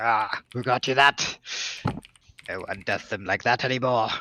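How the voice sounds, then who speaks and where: A man puts on a character voice at a medium pitch and a moderate pace. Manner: gruff, friendly.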